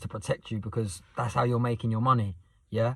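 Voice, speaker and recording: A man is talking here, somewhat breathy in tone. His voice lands at a medium pitch. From southern England, Southend, Essex. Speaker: youth mentor and vlogger. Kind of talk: casual vlog monologue. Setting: night time, next to sleeping son on estate. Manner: fast; animated.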